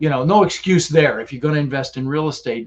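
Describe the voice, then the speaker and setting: A man is speaking. He goes at a very fast pace. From Netherlands. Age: 60s. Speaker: real estate investor. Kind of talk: podcast interview. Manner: animated; repeats words often, stumbling.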